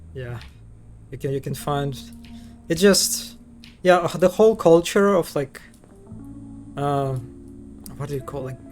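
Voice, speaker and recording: In a Russian accent, a man speaks at a moderate pace. His pitch is fairly high, with ordinary variation. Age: 20s. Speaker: streamer. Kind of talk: casual chat. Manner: halting.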